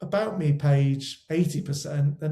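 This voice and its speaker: With a West Country accent, a man speaks in a fairly high, somewhat breathy voice with a dark, mellow tone. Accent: West Country twang. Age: 40s. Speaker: wedding photographer. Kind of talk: interview conversation. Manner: halting, many repetitions.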